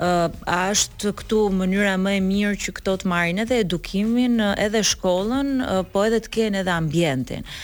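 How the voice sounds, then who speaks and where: A woman's unremarkable speaking voice, medium in pitch with ordinary pitch variation, at a fairly quick pace with hardly any pauses, on a very clean recording with a silent background. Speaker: politician. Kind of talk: morning show interview. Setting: studio.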